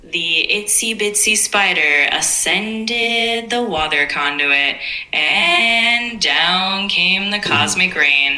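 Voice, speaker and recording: A put-on character voice, female-sounding and medium in pitch for a woman, at a very slow pace. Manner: spacey.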